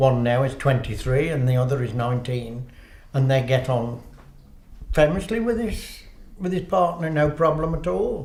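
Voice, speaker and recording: Lively intonation moves at a moderate pace through audible room echo. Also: man, fairly high pitch for a man. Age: old. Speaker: interviewee. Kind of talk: interview.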